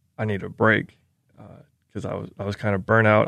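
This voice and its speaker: Against a quiet background, a man with an American accent speaks at a fairly low pitch in a monotone, flat intonation. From US South. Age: 20s. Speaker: college football kicker and Air Force veteran. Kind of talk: interview.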